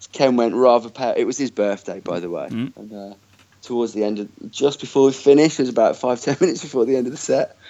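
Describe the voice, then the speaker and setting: A man with a Birmingham accent at medium pitch, very fast, with ordinary pitch variation and big swings in loudness. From Birmingham, England. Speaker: festival organiser. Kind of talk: interview.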